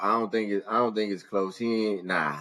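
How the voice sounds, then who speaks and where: This man's voice sits at a fairly low pitch. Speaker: podcast co-host. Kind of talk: casual chat. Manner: loud; animated.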